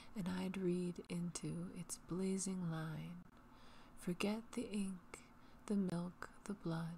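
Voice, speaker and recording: Soft-spoken and somewhat breathy, a woman with a fairly low pitch uses a soothing tone, flat monotone intonation and a very slow pace. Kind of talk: poetry reading. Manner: soothing, relaxing.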